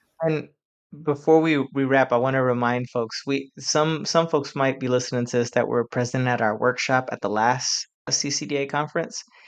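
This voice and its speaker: Over a quiet background, a man with a medium pitch talks at a moderate pace in an ordinary speaking voice. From Puerto Rican community in the US. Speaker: language advocate. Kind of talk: podcast conversation. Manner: frequent repetitions and restarts.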